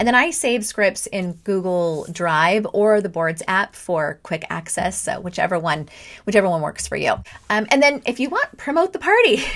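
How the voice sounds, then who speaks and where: At a moderate pace and medium pitch, a woman talks with lively intonation in an ordinary speaking voice. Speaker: direct sales party coach. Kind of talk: tutorial. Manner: casual, with fillers and restarts.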